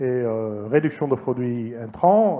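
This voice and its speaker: A man speaks with a Dutch accent and lively intonation. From Netherlands. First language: Dutch (speaking French). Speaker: entomologist, former agronomy lecturer-researcher. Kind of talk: conference talk. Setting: conference hall with audience. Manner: hesitant, many fillers.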